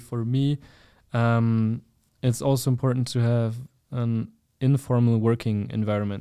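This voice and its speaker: A man with a German accent, medium-pitched and dark, mellow in tone, monotone and flat in intonation, at a moderate pace against a quiet background. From Germany. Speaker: university student. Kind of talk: casual chat.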